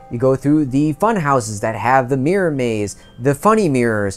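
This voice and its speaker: Faint music sits in the background while a man speaks at a moderate pace. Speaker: video creator. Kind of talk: storytelling vlog narration. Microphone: lapel.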